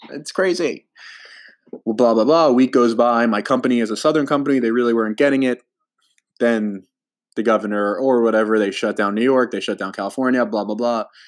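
With a New Jersey accent, a man of medium pitch talks fairly quickly, using ordinary pitch variation. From New Jersey, US. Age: 20s. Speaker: podcast host. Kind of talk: casual chat.

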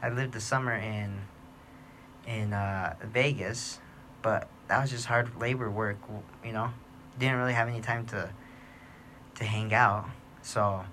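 This man's voice sits at a medium pitch, with a bright, sharp tone and fairly even intonation. He talks at a fairly slow pace with long, frequent pauses, and the room echo is audible. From New Mexico, Gallup. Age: 30s. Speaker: podcast host. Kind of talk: casual monologue.

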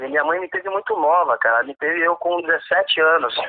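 His intonation is lively. The man speaks at a fairly slow pace. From São Paulo, Zona Oeste. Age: 40s. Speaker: samba rock dance teacher. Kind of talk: casual interview chat.

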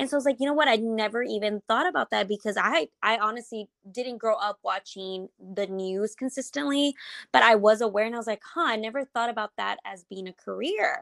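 A woman's normal speaking voice with an American accent, fairly high in pitch, with lively intonation at a fairly quick pace, in a very clean recording with a silent background and a dry, close sound free of echo. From Texas, Houston. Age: 20s. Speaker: entrepreneur and social media consultant. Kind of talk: interview.

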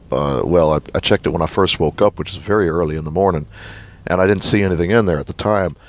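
A man's very deep, low pitch with ordinary pitch variation at a very fast pace, over noticeable background noise. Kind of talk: casual devotional talk. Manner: halting, many restarts.

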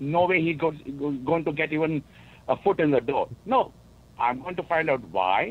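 Using lively intonation, a man talks at a moderate pace and a fairly high pitch, with vocal fry. He leaves long, frequent pauses. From India. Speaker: caller. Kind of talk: call-in discussion. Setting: phone call.

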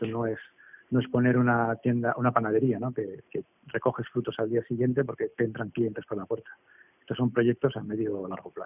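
The man's pitch is medium and his intonation monotone and flat. He talks at a fairly quick pace. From Basque Country, Spain. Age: 40s. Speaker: entrepreneur. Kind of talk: interview. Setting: remote call. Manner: halting, many repetitions.

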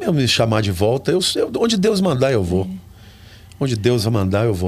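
A man talks with lively intonation. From Brazil, São Paulo interior (Olímpia). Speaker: pastor and preacher. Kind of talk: interview.

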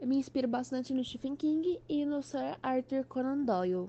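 At a moderate pace, a woman with a high pitch and a dark, mellow tone speaks using lively intonation. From São Paulo state interior, Brazil. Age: 20s. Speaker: author. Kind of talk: podcast interview.

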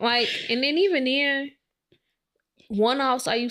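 This woman's voice rises and falls with ordinary pitch variation. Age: 20s. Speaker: podcast co-host. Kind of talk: casual chat.

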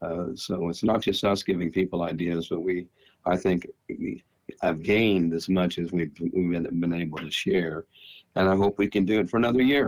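Ordinary pitch variation in a very deep, low male voice. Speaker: retired speech teacher, podcast co-host. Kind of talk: casual chat. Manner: halting.

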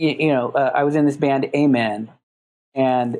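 With a Californian accent, a man speaks at a fairly high pitch. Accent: Californian American. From Los Angeles. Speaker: music producer and recording engineer. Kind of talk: casual interview chat.

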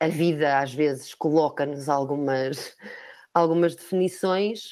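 Her pace is moderate. The woman's pitch shows ordinary variation. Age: 40s. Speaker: recruitment company manager. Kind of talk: interview.

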